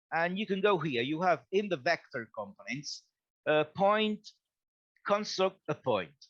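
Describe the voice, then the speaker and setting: Delivery is fairly slow, broken by long, frequent pauses. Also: man, high pitch for a man. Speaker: webinar instructor. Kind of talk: software tutorial.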